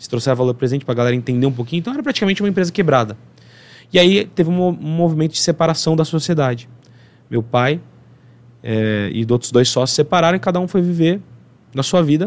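A man at a very fast pace and fairly high pitch, with long, frequent pauses. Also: lively intonation. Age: 30s. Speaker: accountant and entrepreneur. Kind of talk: interview.

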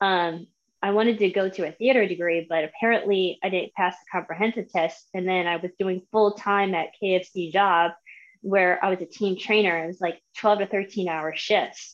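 In a normal speaking voice, a woman with an American accent talks at medium pitch and a moderate pace against a quiet background. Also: fairly even intonation. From Florida. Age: 30s. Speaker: massage therapist. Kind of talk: casual interview. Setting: live video stream.

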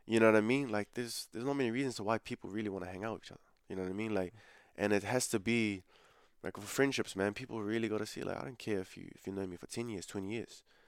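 A man with a New Zealand accent talks at a very fast pace, his loudness swinging widely while his intonation stays fairly even. The recording is very clean, with a silent background. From New Zealand, South Auckland. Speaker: calisthenics athlete and online coach. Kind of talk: casual interview.

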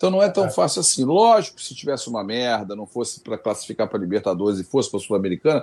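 A man at a very fast pace with ordinary pitch variation, in a very clean recording with a silent background. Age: 50s. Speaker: football fan YouTuber. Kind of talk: live stream interview.

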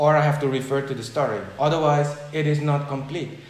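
A fairly quick, fairly high-pitched male voice against noticeable background noise. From Suriname. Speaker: business consultant and philosopher interviewed for research. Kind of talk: casual interview conversation. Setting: video call.

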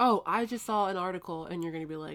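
Fairly low in pitch with ordinary pitch variation, a woman's voice comes through on a very clean recording with a silent background. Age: 20s. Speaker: podcast co-host. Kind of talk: casual chat. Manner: animated.

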